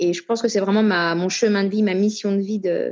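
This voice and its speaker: Speaking at a fairly quick pace, a woman keeps a monotone, flat intonation. Her pitch is medium. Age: 40s. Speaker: singer and actress. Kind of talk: casual interview.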